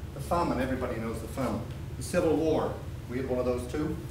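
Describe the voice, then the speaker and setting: A man with an Irish accent speaks with lively intonation. The recording has audible room echo and noticeable background noise. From Ireland. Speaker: presenter at a local talk event. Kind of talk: short public talk.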